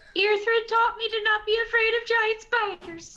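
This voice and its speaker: A squeaky, put-on character voice at an extremely high pitch, with monotone, flat intonation. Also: moderate pace. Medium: actual play.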